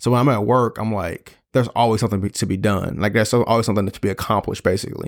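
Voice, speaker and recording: On a very clean recording with a silent background, a man speaks very fast at a fairly low pitch with fairly even intonation. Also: hardly any pauses. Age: 30s. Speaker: podcast co-host, business owner. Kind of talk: casual chat.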